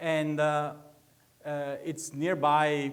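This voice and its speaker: A man speaks with an Italian accent. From northeastern Italy (Veneto). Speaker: research agronomist. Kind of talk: public lecture. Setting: lecture hall with audience. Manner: halting, many fillers.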